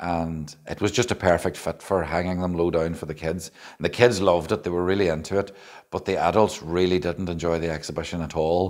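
The man's pitch is very deep and low. He speaks at a fairly quick pace against a quiet background. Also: fairly even intonation. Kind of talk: casual video diary talk. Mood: relaxed, lightly amused. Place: hall.

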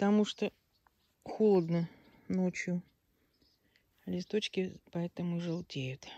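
A woman with a dark, mellow tone and fairly low pitch speaks at a very slow pace with fairly even intonation and long, frequent pauses, the sound dry with no echo. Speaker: village vlogger. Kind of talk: casual video tour. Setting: outdoors. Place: garden. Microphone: phone near.

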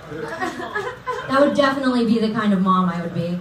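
A woman at a moderate pace with lively intonation, audible room echo and light background noise. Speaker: comedian. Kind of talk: stand-up. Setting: stage with audience. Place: stage.

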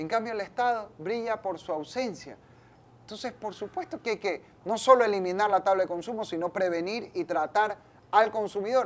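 This man speaks in a high pitch with ordinary pitch variation. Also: moderate pace. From Ecuador, Guayaquil; Ecuador. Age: 30s. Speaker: politician, national assembly member; politician. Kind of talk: interview. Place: studio. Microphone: lapel.

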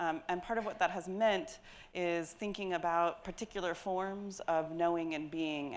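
Woman at a fairly slow pace, intonation fairly even, over light background noise. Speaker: education researcher; panelist. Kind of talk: panel remarks. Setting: stage with audience. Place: hall. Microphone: lapel.

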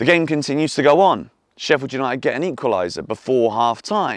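Over a quiet background, a man with an English accent speaks fairly quickly, his pitch swinging very widely. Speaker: football YouTuber and club fan. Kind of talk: fan video rant. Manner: animated; exasperated.

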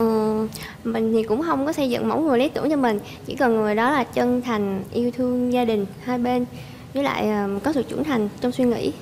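Light background noise sits behind a woman's high-pitched voice, its loudness very even. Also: ordinary pitch variation, moderate pace. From Southern Vietnam, Tien Giang; Southern Vietnam. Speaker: dating show contestant. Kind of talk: casual chat. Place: studio.

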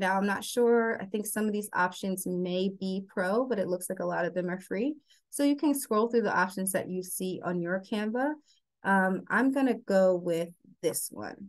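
A woman speaks in a normal speaking voice with an American accent, at a medium pitch and a moderate pace. Her pitch varies in an ordinary way, and the background is quiet. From New Jersey. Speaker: graphic designer. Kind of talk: tutorial. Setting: video call.

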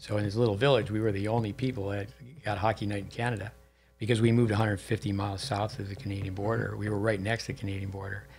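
Faint music plays in the background as a man speaks very fast in a somewhat breathy, monotone, flat delivery. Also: fairly low pitch for a man. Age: 60s. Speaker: tennis coach and podcast host; tennis coach, podcast host. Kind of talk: casual interview. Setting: studio at a tennis center. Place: studio. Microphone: studio mic.

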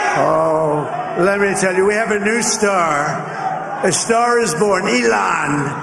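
The speech comes at a very slow pace. Noticeable background noise runs underneath it. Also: man. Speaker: politician giving victory speech. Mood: celebratory, upbeat. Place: hall. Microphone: podium.

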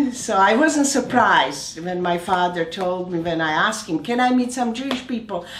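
Lively intonation marks this woman's speech, and there is audible room echo. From Slovakia. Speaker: oncologist. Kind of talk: interview answer. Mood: warm, reflective, smiling. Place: home room.

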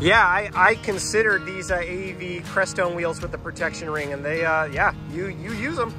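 Clear music plays in the background as the speaker keeps a moderate pace with hardly any pauses, the sound dry with no echo. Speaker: vehicle vlogger. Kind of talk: casual vlog chat. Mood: friendly, enthusiastic. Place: street. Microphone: phone near.

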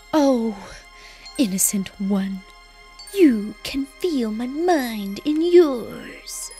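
Against clear background music, a woman does a put-on character voice at a high pitch and a very slow pace. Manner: goofy, exaggerated voice.

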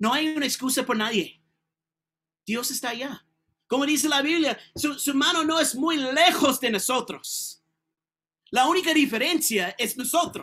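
A man's raised, projected voice with an American accent, animated and bright, sharp in tone, fairly slow with long, frequent pauses and ordinary pitch variation, against a quiet background. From California. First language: English (speaking Spanish). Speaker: preacher. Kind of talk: sermon. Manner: halting. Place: home room.

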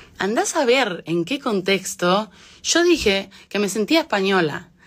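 With an Argentine accent, a woman speaks at a fairly slow pace with very wide pitch swings against a quiet background. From Argentina, moved to Spain at age 9. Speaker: singer. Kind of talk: casual talk in an Instagram live. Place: home room. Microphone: phone near.

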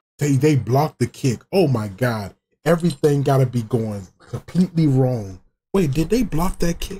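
At a moderate pace, a man with a fairly high pitch and a dark, mellow tone talks with lively intonation. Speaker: YouTube reaction streamer; streamer. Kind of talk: casual reaction stream over game highlights. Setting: recorded video reaction to game footage. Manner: loud, excitable, whooping and cursing at big plays. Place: home room.

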